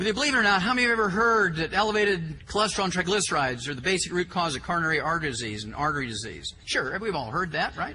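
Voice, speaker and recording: Against noticeable background noise and audible room echo, a man with a high pitch and very wide pitch swings speaks at a very fast pace with hardly any pauses. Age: 60s. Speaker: health lecturer. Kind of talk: lecture. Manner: animated.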